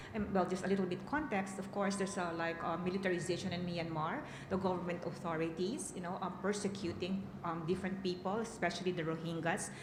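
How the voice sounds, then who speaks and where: With noticeable background noise and audible room echo, a woman of medium pitch rushes along at a very fast pace with hardly any pauses and fairly even intonation. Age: 60s. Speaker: peace and women's rights advocate. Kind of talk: conference panel answer. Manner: halting, many fillers.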